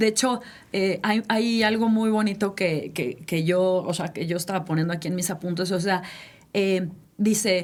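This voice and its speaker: With an unremarkable speaking voice, a woman speaks at medium pitch and a moderate pace, using ordinary pitch variation. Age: 60s. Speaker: podcast co-host. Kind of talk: casual chat.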